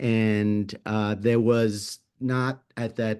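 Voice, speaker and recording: Against a quiet background, a man speaks in a plain, everyday voice at a fairly low pitch. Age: 60s. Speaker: artist, conference panelist. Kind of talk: panel discussion.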